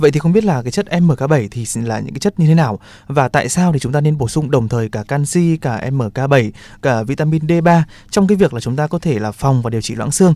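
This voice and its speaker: Quiet background and dry sound with no echo frame a man speaking at a fairly high pitch and a very fast pace with lively intonation. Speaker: radio host. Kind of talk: radio health show hosting. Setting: studio. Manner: formal. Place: studio.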